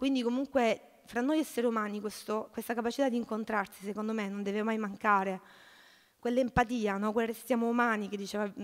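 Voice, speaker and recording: A woman's fairly high voice at a fairly quick pace, with fairly even intonation and a quiet background. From southern Italy, Salento (Lecce province); southern Italy. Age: 30s. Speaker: social cooperative president, activist; speaker. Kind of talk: panel talk. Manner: halting, many repetitions. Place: hall. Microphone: podium.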